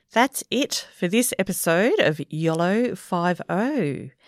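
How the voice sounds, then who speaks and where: In a very clean, dry, close recording with no echo and a silent background, a woman with an Australian accent speaks very slowly at a medium pitch with lively intonation. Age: 50s. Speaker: podcast co-host. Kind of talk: casual chat.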